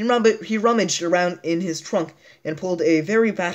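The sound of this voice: Pitch rises and falls in an ordinary way here. The delivery is an unforced reading voice.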